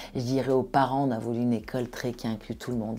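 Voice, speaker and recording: The voice has a dark, mellow tone with vocal fry. It moves at a very fast pace with fairly even intonation. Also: woman. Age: 50s. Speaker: entrepreneur. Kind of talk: podcast interview.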